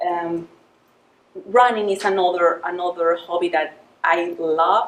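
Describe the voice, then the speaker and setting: The speaker has a Spanish accent and talks at a fairly slow pace with fairly even intonation. Noticeable background noise runs underneath. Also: woman, fairly low pitch for a woman. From Mexico. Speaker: project manager giving a club speech. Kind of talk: prepared club speech. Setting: club meeting with audience. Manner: halting, many fillers.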